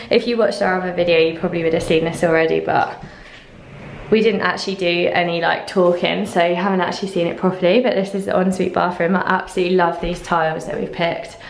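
Very fast, monotone speech from a woman, flat in intonation, with audible room echo. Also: fairly low pitch for a woman. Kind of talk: casual vlog chat. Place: empty room. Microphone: phone near.

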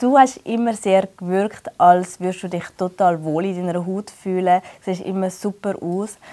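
A woman's fairly slow speech with fairly even intonation. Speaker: interviewer. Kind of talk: casual interview chat. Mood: warm, friendly. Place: studio.

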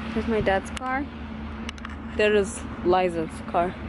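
Noticeable background noise under a woman's dry voice with no echo. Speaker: vlogger. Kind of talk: casual vlog chat. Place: street. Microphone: phone near.

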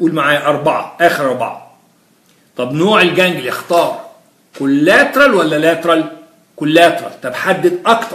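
There is audible room echo around the voice. A man speaks at a high pitch. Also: lively intonation, fairly slow pace. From Egypt. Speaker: physiology lecturer. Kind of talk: lecture. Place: classroom.

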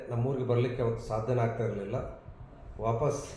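The speech is monotone, with flat intonation and audible room echo. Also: man. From India, Karnataka, Dharwad district (north Karnataka). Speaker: professor. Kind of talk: interview.

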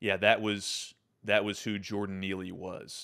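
Against a quiet background, a man speaks at a moderate pace. His pitch is fairly low and his tone bright and sharp. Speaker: show host. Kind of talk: political commentary. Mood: angry, indignant. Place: home room. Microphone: studio mic.

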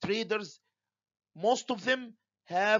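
This man talks at a very slow pace. He has an Arabic accent. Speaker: university lecturer. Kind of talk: lecture. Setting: home recording for online students.

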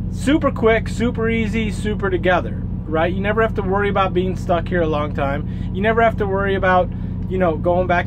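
A man talks fairly quickly as clear background noise runs underneath. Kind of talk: casual vlog chat. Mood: upbeat, positive. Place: car. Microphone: phone near.

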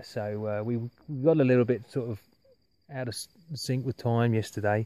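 This man's voice has a dark, mellow tone and fairly even intonation, with a dry sound and no echo. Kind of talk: casual vlog chat. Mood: relaxed, reflective. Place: open country. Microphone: phone near.

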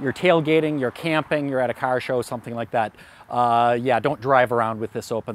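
Here a man speaks with fairly even intonation. The sound is dry with no echo, over light background noise. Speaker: product reviewer. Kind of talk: product review talk. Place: garden. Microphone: lapel.

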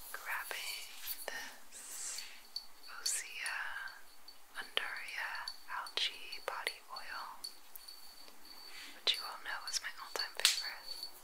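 Very slow delivery broken by long, frequent pauses. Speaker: ASMR massage practitioner. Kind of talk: ASMR massage session narration.

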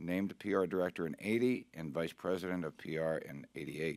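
A man's voice against a quiet background, dry sound with no echo. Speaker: club officer; guest. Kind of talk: speaker introduction. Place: meeting room. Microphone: podium.

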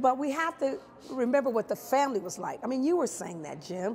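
A woman's high voice with an American accent at a fairly quick pace, over light background noise. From Chicago. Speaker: stage actress, musical theatre performer. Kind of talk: interview answer. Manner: warm, expressive, lively. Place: hall.

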